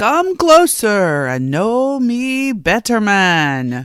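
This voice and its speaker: This put-on character voice sits fairly high and swings very widely in pitch. It moves at a very slow pace. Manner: jovial, welcoming.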